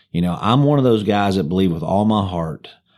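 A man's fairly low, an unremarkable speaking voice with ordinary pitch variation, captured on a very clean recording against a silent background. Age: 50s. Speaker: pastor. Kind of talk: casual chat.

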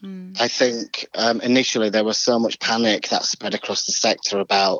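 Speaking at a moderate pace, a man has a plain, everyday voice at a medium pitch. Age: 40s. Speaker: choreographer. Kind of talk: casual interview chat.

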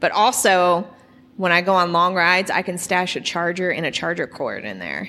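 Fairly low in pitch, a woman talks with vocal fry. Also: moderate pace. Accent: American. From Oklahoma, Edmond. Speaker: artist and cyclist. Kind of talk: casual interview chat.

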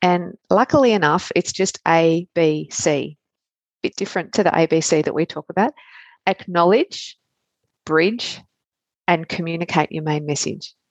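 With an Australian accent, a woman talks at a fairly low pitch with ordinary pitch variation and long, frequent pauses. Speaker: pediatric emergency physician and coach. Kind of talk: interview chat. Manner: fast talker.

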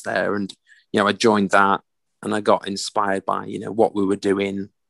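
The sound is dry and close with no echo. A man with a fairly low pitch talks at a moderate pace. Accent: Yorkshire. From northern England, Doncaster area. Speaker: military veteran, children's fitness entrepreneur. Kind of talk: casual interview.

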